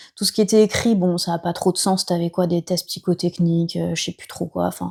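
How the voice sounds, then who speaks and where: The voice is dark, mellow and somewhat breathy, with monotone, flat intonation and big swings in loudness. The sound is dry and close with no echo. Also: woman, fairly low pitch for a woman. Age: 30s. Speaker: nurse turned entrepreneur. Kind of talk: podcast interview. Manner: casual, many hesitations.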